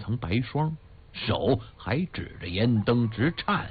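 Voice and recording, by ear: A natural voice reads the words aloud.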